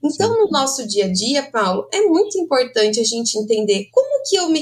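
Against noticeable background noise, a woman talks at a high pitch and a moderate pace, her pitch swinging very widely and hardly pausing. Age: 30s. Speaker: clinical psychologist. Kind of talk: interview.

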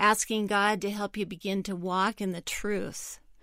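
On a very clean recording with a silent background, a woman speaks in a monotone, flat intonation with a dry, close sound and no echo. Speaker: counselor. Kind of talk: advice answer to listener letter.

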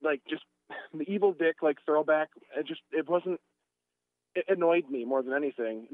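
Speaking at a fairly quick pace, a man uses a normal speaking voice with a fairly high pitch and lively intonation. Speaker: podcast host. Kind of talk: casual chat.

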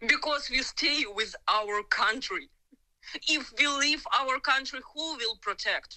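Very slowly, a woman with a Ukrainian accent speaks in a raised, projected voice, high in pitch. Her tone is bright and sharp, with lively intonation. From Ukraine. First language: Ukrainian or Russian. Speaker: civilian in war zone, dog trainer. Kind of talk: phone interview testimony. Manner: halting, hesitant English.

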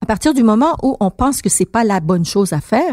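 On a very clean recording with a silent background, a woman with a fairly high pitch makes very wide pitch swings. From Montreal, Quebec (childhood), then Iran ages 8-18. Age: 50s. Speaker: political candidate. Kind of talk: interview.

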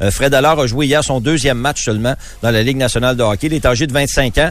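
A man talks with a medium pitch and ordinary pitch variation while music plays in the background. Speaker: sports reporter. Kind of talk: sports news reading.

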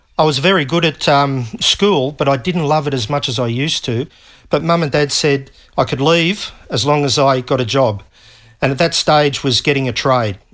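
The speaker is a man with an Australian accent and fairly high pitch. The recording is very clean, the background silent. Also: ordinary pitch variation, moderate pace. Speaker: retired navy technician. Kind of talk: interview. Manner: halting.

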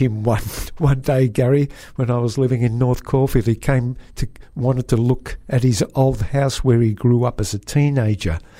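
A man in an Australian accent, with a dark, mellow tone, very even loudness and fairly even intonation. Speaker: radio host. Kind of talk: casual radio chat. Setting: studio.

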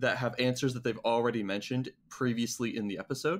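A man's plain, everyday voice at medium pitch, with ordinary pitch variation, on a very clean recording over a silent background. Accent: Canadian. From Canada. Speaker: podcast co-host. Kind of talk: casual chat.

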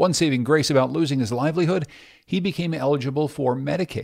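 A man's very clean recording with a silent background, fairly high pitch, an American accent, a fairly quick pace and an unremarkable speaking voice. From Pittsburgh, Pennsylvania. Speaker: podcast co-host, journalist. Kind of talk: conversational news podcast.

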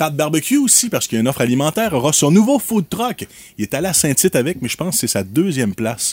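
With very wide pitch swings, a man talks very fast at a fairly high pitch. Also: dry, close sound with no echo. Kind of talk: casual radio chat.

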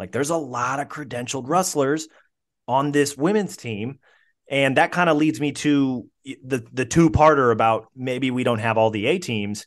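Against a quiet background, a normal speaking voice moves at a moderate pace with ordinary pitch variation. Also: man, medium pitch for a man. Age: 30s. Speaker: newspaper wrestling writer and podcast host. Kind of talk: casual interview chat.

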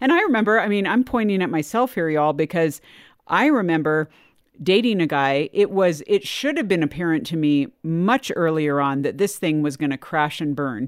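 On a very clean recording with a silent background, a woman with an unremarkable speaking voice talks at a fairly low pitch and a moderate pace with lively intonation. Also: dry, close sound with no echo. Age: 40s. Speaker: podcast host. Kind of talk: casual chat.

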